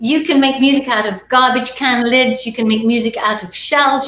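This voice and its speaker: Music plays in the background as a woman speaks at a high pitch. She talks with an English accent. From England. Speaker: multi-instrumentalist musician. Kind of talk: casual chat.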